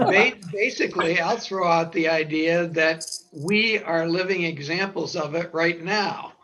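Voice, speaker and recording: Through noticeable background noise, a high-pitched man speaks fairly slowly with fairly even intonation. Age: 70s. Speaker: audience member. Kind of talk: casual discussion. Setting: video call.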